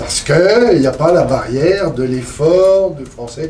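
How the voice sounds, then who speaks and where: Over noticeable background noise and audible room echo, a man with a fairly high pitch talks with lively intonation. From Poitou, western France. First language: Poitevin (speaking French). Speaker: traditional music collector. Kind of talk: seminar panel discussion.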